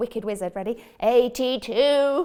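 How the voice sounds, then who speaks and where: Pitched high, a put-on character voice comes from a woman. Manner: playful, villainous.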